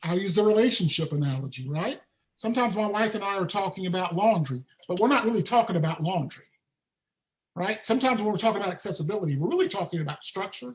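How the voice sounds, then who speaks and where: In a strong Southern US accent, a man talks at a very fast pace with a high pitch and lively intonation. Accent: thick Southern. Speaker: accessibility trainer. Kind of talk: webinar presentation. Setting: live online event.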